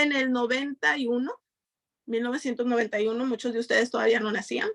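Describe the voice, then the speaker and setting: In a Mexican accent, a woman speaks at a high pitch with ordinary pitch variation. The sound is dry and close, with no echo. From Mexico, Nayarit. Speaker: community member. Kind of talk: panel discussion.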